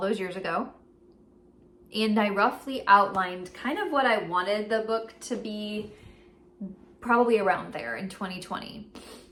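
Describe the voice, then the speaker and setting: Speaking at a fairly slow pace, a woman keeps a medium pitch and fairly even intonation. Audible room echo and noticeable background noise surround her voice. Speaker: writing vlogger. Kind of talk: casual vlog.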